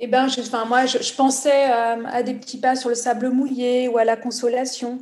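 Flat, monotone speech runs at a moderate pace with hardly any pauses and audible room echo. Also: woman, high pitch for a woman. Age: 40s. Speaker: social entrepreneur. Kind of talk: interview.

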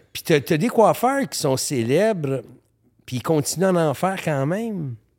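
In a Montreal accent, the speaker talks at a very slow pace with lively intonation on a very clean recording with a silent background. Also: man, long, frequent pauses. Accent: Montreal Quebec French. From Quebec, Montreal. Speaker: photographer. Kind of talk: casual chat. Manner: halting.

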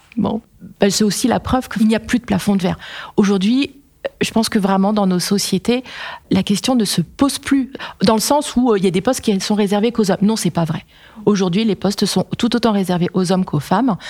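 A woman's somewhat breathy, dark and mellow voice at a medium pitch, fairly quick in pace, with ordinary pitch variation and very even loudness. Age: 40s. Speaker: engineering company executive. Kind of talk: casual interview, Q&A with students.

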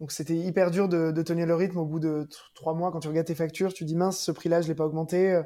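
Talking at a very fast pace, a man holds a high pitch with monotone, flat intonation. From Provence, near Marseille. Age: 40s. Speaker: cheesemonger, shop owner. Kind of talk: interview. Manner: cheerful.

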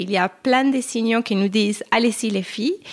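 A woman talks at a moderate pace in an unremarkable speaking voice of medium pitch with ordinary pitch variation. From Argentina. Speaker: brand co-founder.

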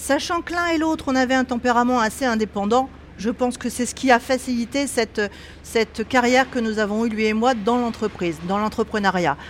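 Noticeable background noise runs under this woman's voice. She talks at a fairly quick pace, with a fairly high pitch and ordinary pitch variation. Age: 60s. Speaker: textile company owner. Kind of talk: interview. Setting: knitting factory.

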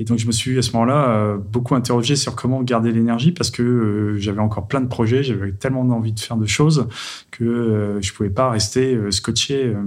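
Speaking in an ordinary speaking voice, a man holds a medium pitch with fairly even intonation. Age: 40s. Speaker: tech entrepreneur. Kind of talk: testimony.

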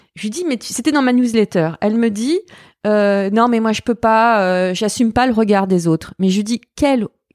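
On a very clean recording with a silent background and a dry, close sound with no echo, a woman speaks at a moderate pace and a fairly high pitch with ordinary variation. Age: 40s. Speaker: fashion journalist and podcaster. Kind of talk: casual interview chat. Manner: halting, repetitive.

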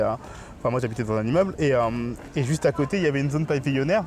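Very fast male speech, fairly high in pitch, with ordinary pitch variation over noticeable background noise. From Paris. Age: 30s. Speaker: podcast host. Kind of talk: casual chat. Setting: outdoors.

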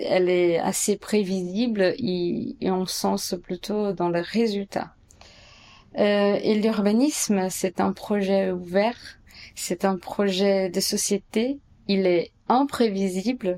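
In a Portuguese accent, the voice has a dark, mellow tone, very even loudness and fairly even intonation, moving at a very slow pace. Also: woman, medium pitch for a woman. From Brazil, São Paulo. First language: Portuguese (speaking French). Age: 30s. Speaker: architect and urban planner. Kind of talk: interview answers. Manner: hesitant, many fillers.

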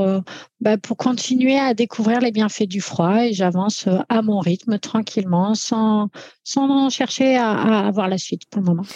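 Somewhat breathy, a woman speaks at a very slow pace with a fairly high pitch and ordinary pitch variation. Her tone is dark and mellow, in a dry, close sound with no echo. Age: 40s. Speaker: firefighter. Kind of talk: interview. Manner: halting.

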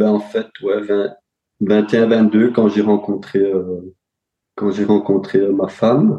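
A man's fairly low, dark and mellow voice, monotone and flat, at a very slow pace with long, frequent pauses. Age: 30s. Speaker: real estate investor. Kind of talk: interview.

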